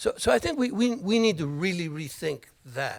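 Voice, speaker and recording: A man keeps a moderate pace, captured in a very clean recording with a silent background. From Miami. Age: 60s. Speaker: board candidate. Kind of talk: candidate forum answers. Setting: college library event with audience. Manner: halting, repeats words.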